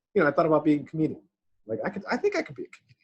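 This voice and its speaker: This man speaks at a fairly high pitch with very wide pitch swings and a somewhat breathy quality. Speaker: podcast co-host. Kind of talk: casual chat. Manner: fast.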